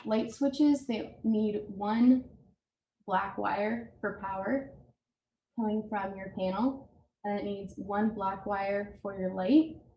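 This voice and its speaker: A woman speaks very slowly at a medium pitch. Her voice is somewhat breathy, with ordinary pitch variation. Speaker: home repair presenter. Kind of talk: tutorial.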